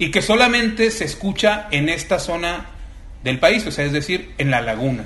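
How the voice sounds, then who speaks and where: A man's high voice with very wide pitch swings at a moderate pace, amid noticeable background noise and audible room echo. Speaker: writer. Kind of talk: casual chat.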